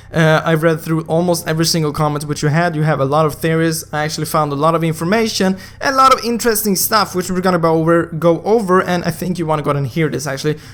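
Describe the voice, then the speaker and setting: Against noticeable background noise, a man with a high voice speaks very fast in an animated tone with ordinary pitch variation. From Sweden. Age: 20s. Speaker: gaming youtuber. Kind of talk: casual video commentary.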